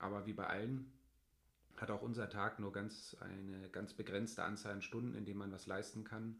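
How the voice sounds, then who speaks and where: A man speaks at a fairly low pitch in a flat monotone, with audible echo from the room. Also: moderate pace. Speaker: family blogger and podcast co-host. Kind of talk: casual chat.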